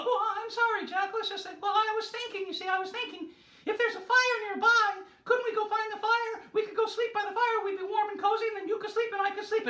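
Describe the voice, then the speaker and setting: A squeaky put-on character voice at an extremely high pitch rattles along very fast with a slight echo. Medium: stage play. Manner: apologetic, stammering.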